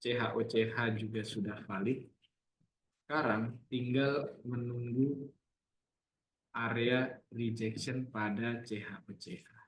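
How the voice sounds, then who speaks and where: Very slowly, a man talks in a somewhat breathy voice. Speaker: trading analyst. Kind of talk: live trading webinar. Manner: casual.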